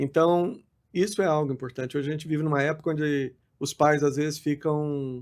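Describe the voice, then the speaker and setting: This man has a fairly high voice and fairly even intonation, speaking at a moderate pace. The recording is very clean, with a silent background. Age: 60s. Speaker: pastor. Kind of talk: podcast interview. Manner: halting.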